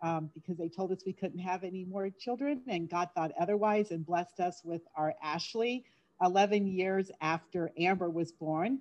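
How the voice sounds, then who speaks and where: With an American accent, a woman uses a plain, everyday voice at medium pitch and a moderate pace, with ordinary pitch variation and hardly any pauses. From Florida. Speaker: direct sales leader. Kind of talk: casual interview.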